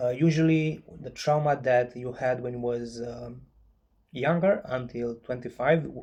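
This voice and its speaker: With a non-native accent, a man speaks at a fairly slow pace in a medium pitch, his tone dark and mellow and his intonation fairly even. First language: not English. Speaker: chronic pain patient and author. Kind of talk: informal video talk to viewers. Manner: halting, many fillers.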